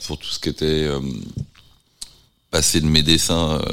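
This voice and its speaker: A man with a very deep, low pitch and fairly even intonation. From France, Nantes. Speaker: visual artist. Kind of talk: interview. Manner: halting.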